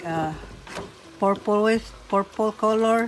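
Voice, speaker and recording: A woman with a non-native accent speaks at a very slow pace. Music plays in the background. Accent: non-native accent, noticeable. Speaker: home cooking vlogger. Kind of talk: cooking tutorial. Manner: casual, halting.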